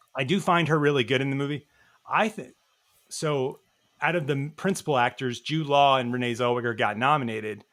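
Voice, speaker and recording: Over a very clean recording with a silent background, a man with a slight Southern US accent talks at a fairly quick pace, his fairly high pitch showing ordinary pitch variation. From US South, Nashville, Tennessee. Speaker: film podcast guest. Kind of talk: casual chat.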